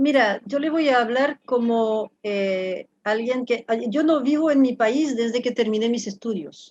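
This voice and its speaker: With a French accent, a woman at a high pitch talks at a fairly slow pace with hardly any pauses and ordinary pitch variation. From France. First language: French (speaking Spanish). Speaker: professor. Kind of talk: interview. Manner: halting.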